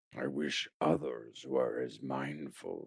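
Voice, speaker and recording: Growling in a put-on character voice, a man speaks very slowly at a very deep, low pitch. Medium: audio drama. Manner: measured, calm.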